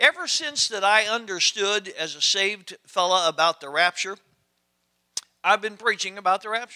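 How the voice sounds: A man talks at a moderate pace in a high voice with a bright, sharp tone and lively intonation.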